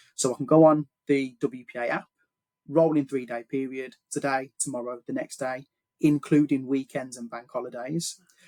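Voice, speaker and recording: A man with a fairly high pitch and a dark, mellow tone speaks in a monotone, flat intonation. The sound is dry and close with no echo, and his loudness swings widely. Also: moderate pace. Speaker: health insurance adviser. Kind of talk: podcast interview. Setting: podcast.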